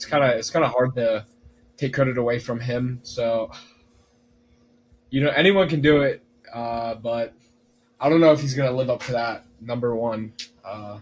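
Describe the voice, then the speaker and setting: Delivery comes at a moderate pace with fairly even intonation and long, frequent pauses. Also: man, medium pitch for a man. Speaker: sports podcast co-host. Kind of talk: casual sports chat.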